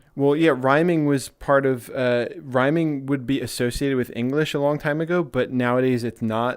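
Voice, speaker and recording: A man with a Philadelphia accent, medium in pitch, his intonation fairly even. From US, Philadelphia. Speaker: VR streamer. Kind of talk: casual chat. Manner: halting, many restarts.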